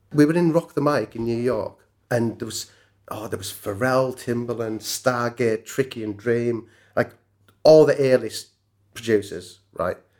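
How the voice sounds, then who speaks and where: A man speaks with a northern English accent. His pace is fairly slow. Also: medium pitch for a man, ordinary pitch variation. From northern England. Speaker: music producer and songwriter. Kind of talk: casual interview chat. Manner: casual, chatty.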